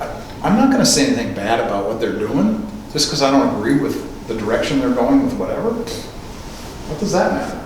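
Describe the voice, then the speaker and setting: The voice moves at a moderate pace with very wide pitch swings, with audible room echo and noticeable background noise. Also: man. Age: 60s. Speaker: speaker on faith and film, radio host. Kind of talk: lecture. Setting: church with live audience.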